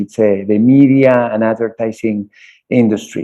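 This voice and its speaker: A man speaks with a Spanish accent at a medium pitch. His pace is moderate and his pitch varies in an ordinary way. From Spain. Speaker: college tech center director. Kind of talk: interview. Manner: halting, repeats words.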